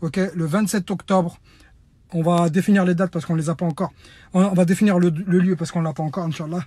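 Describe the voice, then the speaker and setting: On a very clean recording with a silent background, a man speaks very fast in a high pitch, his dark, mellow tone carrying fairly even intonation. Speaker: reality TV personality turned activist. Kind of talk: impassioned video message, call to action. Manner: loud.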